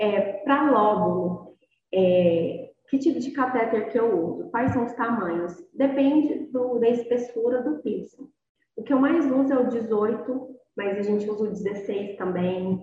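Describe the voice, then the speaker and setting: A woman with a fairly high pitch uses lively intonation while talking very slowly. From Goiás, Brazil (Inhumas). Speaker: nurse. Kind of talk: online lecture.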